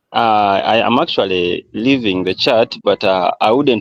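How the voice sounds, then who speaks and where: With a Ugandan accent, a man talks in a dry, close sound with no echo. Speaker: football fan on a livestream call. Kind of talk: casual chat.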